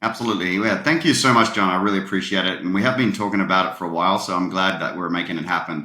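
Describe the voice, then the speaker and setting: A man with an Australian accent, very deep and low-pitched yet bright and sharp in tone, at a very fast pace with ordinary pitch variation. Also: hardly any pauses. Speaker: tech company partnership leader. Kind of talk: podcast interview.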